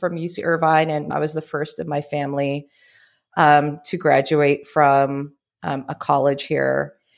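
A woman with a Californian accent is heard on a very clean recording against a silent background. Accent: general American, Californian. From US West Coast. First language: Tagalog. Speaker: life coach. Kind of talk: casual interview.

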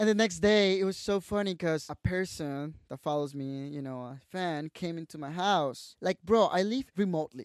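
A man with a Mexican accent speaks at a moderate pace in a high voice, with ordinary pitch variation and big swings in loudness. He hardly pauses, and the sound is dry and close with no echo against a quiet background. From Mexico, Tabasco. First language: Spanish. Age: 20s. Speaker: social media creator and photographer. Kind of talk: casual interview chat.

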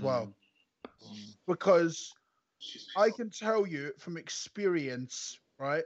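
With a Scottish accent, a man speaks in a high voice with lively intonation. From Scotland. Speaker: football fan podcast guest. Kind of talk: casual chat. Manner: animated.

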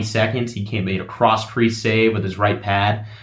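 Somewhat breathy, a man with a fairly low pitch talks at a fairly quick pace. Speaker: guest sports broadcaster. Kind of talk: casual sports chat.

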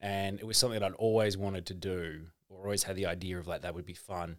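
A man speaks in an Australian accent at a fairly quick pace. His very deep, low voice stays monotone and flat. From Melbourne, Victoria, Australia. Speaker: comedian. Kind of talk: casual chat.

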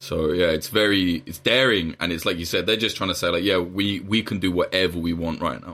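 A man with an English accent, very deep and low in pitch, bright and sharp in tone, at a fairly quick pace with hardly any pauses and fairly even intonation, on a very clean recording with a silent background. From England. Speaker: journalist. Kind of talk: casual chat.

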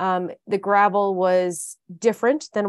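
A woman of medium pitch with an American accent has an unremarkable speaking voice and ordinary pitch variation, recorded with a quiet background and a dry, close sound with no echo. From Michigan, US Midwest. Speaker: women's cycling team founder. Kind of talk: casual chat.

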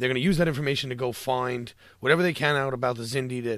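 On a very clean recording with a silent background, a man speaks in a normal speaking voice at medium pitch with ordinary pitch variation. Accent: American. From New York. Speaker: podcast producer and fan. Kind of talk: casual chat.

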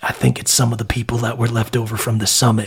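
Putting on a raspy character voice, a man talks at a very fast pace with a medium pitch and monotone, flat intonation. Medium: actual play. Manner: hesitant, rambling.

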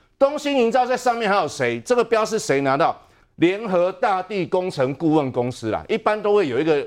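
Against a quiet background, a man with a high voice talks at a moderate pace, his pitch swinging very widely. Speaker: city councillor. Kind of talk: political talk show debate.

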